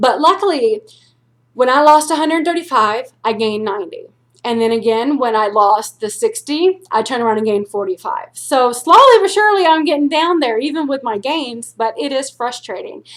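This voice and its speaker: At a fairly quick pace, a woman speaks in a high pitch with very wide pitch swings. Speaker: weight loss vlogger. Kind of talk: personal vlog. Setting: at home, quiet. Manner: blunt, intimidating tone.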